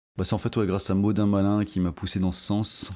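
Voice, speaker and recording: On a very clean recording with a silent background, a man with a fairly low pitch speaks with fairly even intonation. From France (overseas territories). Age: 40s. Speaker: political podcaster. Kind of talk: casual monologue podcast. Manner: hesitant, many fillers.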